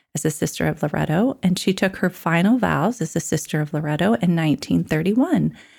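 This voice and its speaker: A woman talks at a fairly quick pace with hardly any pauses. Vocal fry runs through her voice. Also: fairly low pitch for a woman. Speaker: podcast co-host. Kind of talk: casual chat.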